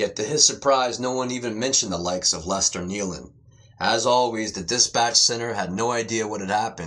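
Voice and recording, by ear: The voice is reading aloud in a natural voice with ordinary pitch variation.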